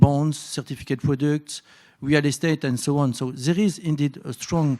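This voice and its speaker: In a French accent, the speaker talks at a fairly quick pace with fairly even intonation, in a dry, close sound with no echo and a very clean recording with a silent background. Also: man. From France. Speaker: bank innovation executive, panelist. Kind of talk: conference panel discussion. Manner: halting, many fillers.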